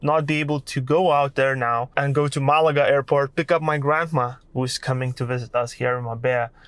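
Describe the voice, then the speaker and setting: In a very clean recording with a silent background, a man speaks with a Lithuanian accent. His pitch is fairly high and his intonation fairly even. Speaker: content creator. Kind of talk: vlog monologue.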